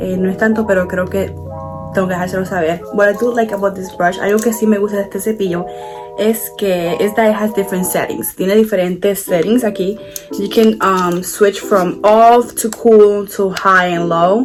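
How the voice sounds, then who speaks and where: Music plays in the background as a woman speaks at a fairly quick pace. Her pitch is medium and her intonation fairly even. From Puerto Rico. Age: 20s. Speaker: beauty content creator. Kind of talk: casual talk to camera, bilingual hair tutorial.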